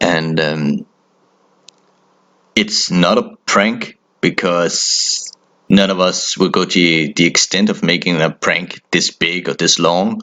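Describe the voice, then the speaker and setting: Speaking with a Danish accent, a man goes at a very slow pace with long, frequent pauses. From Denmark. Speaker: horror storyteller. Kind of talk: casual storytelling. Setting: phone call with brother.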